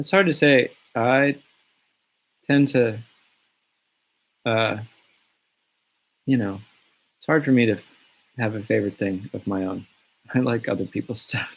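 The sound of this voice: A man speaks quietly in a gravelly voice with ordinary pitch variation. Long, frequent pauses break up his speech. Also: medium pitch for a man, fairly slow pace.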